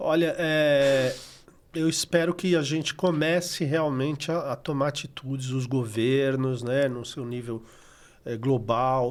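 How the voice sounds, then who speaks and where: In a very clean recording with a silent background, a man with a fairly high pitch talks at a very slow pace. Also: ordinary pitch variation. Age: 60s. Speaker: recycling NGO coordinator. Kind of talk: podcast interview.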